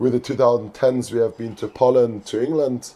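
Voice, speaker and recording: Medium-pitched male voice with a dark, mellow tone at a moderate pace. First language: not English. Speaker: youth football coach. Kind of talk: podcast interview. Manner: halting.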